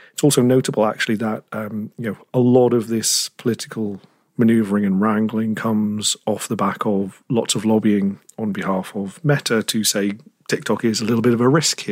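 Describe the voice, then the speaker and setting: A speaker with a British accent talks at a moderate pace. The intonation stays fairly even. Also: man, fairly low pitch for a man. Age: 30s. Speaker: tech journalist. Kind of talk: interview.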